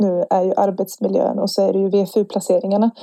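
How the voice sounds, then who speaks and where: In a dry, close sound with no echo, a woman speaks at a moderate pace with a medium pitch and a dark, mellow tone. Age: 20s. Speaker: nursing student and student union chair. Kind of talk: podcast interview.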